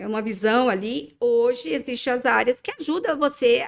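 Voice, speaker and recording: Very wide pitch swings at a moderate pace. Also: woman. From Minas Gerais, Brazil. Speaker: dermatologist. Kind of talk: casual podcast chat. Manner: hesitant, many fillers.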